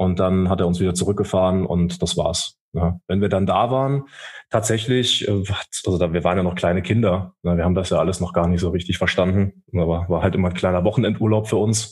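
A man talks at a fairly quick pace in a very deep, low voice, with fairly even intonation and very even loudness. The recording is very clean, with a silent background. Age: 30s. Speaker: soldier. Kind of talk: casual interview. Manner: halting.

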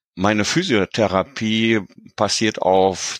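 A man's very slow speech with a dry, close sound and no echo. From Germany, near Paderborn. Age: 60s. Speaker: patient. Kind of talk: interview.

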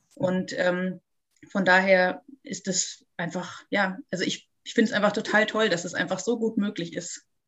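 A woman's normal speaking voice, medium in pitch, at a moderate pace with ordinary pitch variation. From Munich, Bavaria. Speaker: spiritual medium and healer. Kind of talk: interview.

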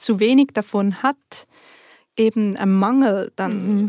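A woman's dark, mellow voice at medium pitch, in a dry, close sound with no echo. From Switzerland. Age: 30s. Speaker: natural cosmetics entrepreneur. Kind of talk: interview.

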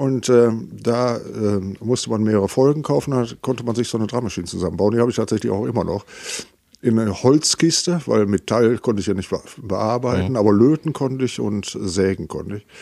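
A man's dark, mellow voice at a medium pitch, with ordinary pitch variation and a fairly quick pace. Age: 60s. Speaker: musician and music school founder. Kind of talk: casual chat. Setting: in person in the same room.

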